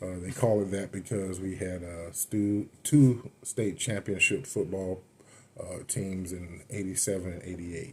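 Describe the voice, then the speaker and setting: A man with an American accent speaks in a very deep, low, somewhat breathy voice, with ordinary pitch variation and big swings in loudness. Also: fairly slow pace. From Florida (Avon Park). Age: 30s. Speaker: powerlifter. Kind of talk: casual monologue storytelling. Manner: hesitant, many fillers; unscripted, off the cuff.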